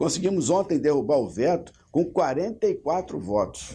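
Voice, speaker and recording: At a moderate pace, a man speaks with a fairly high pitch, a dark, mellow tone and vocal fry against a quiet background. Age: 60s. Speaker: state legislator. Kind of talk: interview.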